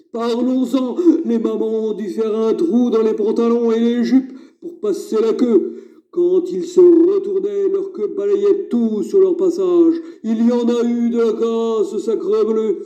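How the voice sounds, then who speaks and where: In a cartoonish character voice, a man speaks at an extremely high pitch and a fairly slow pace. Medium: puppet. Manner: exasperated, scolding.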